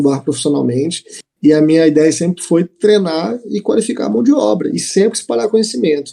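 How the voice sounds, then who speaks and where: In a fairly high pitch and a dark, mellow tone, a man talks at a fairly quick pace with lively intonation. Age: 20s. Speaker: bartender. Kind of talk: casual chat.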